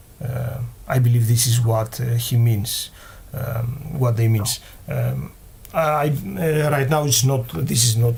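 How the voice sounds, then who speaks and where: A non-native accent at a very slow pace, with ordinary pitch variation and audible room echo. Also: man. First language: not English. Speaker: game developer. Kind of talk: live Q&A stream. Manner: halting, many fillers.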